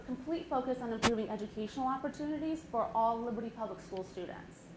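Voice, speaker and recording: A woman's high-pitched voice at a very fast pace, with ordinary pitch variation, noticeable background noise and audible room echo. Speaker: nonprofit foundation executive director. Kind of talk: community presentation.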